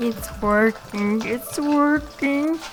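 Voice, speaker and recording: Clear background noise runs under a put-on character voice pitched fairly high. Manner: manic, dramatic.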